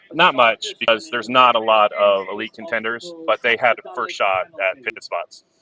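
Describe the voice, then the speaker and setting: A man with a plain, everyday voice at a medium pitch and moderate pace, with ordinary pitch variation, big swings in loudness, hardly any pauses, and a dry, close sound with no echo. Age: 40s. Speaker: race commentator. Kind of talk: live commentary.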